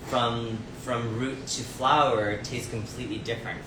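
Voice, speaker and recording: A man with a Cambodian accent, medium pitch, fairly slow pace, noticeable background noise and audible room echo. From Canada, Windsor Ontario. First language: Khmer. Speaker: chef. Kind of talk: casual interview. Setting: live video stream in restaurant.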